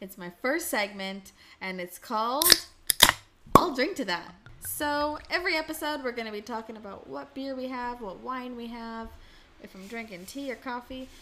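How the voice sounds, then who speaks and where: Noticeable background noise sits behind a woman speaking at a high pitch and moderate pace. Her intonation is lively, with big swings in loudness. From Canada. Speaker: podcast host. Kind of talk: casual chat. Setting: indoors at a table, heavy rain outside.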